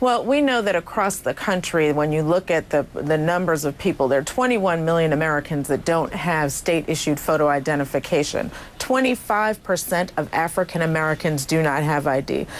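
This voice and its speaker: A woman with a very deep, low pitch speaks at a fairly quick pace with hardly any pauses, lively intonation and very even loudness, over noticeable background noise. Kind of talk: interview answer, advocacy. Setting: studio, remote video interview.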